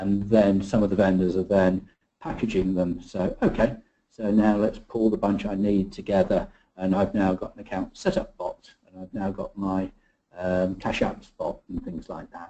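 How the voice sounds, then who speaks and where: Big swings in loudness from a man talking at a moderate speed. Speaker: industry analyst presenting webinar. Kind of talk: webinar presentation. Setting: online webinar.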